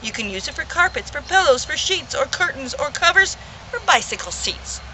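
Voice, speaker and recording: A woman in a put-on character voice speaks nasally at a fairly quick pace, with clear background noise. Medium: read story.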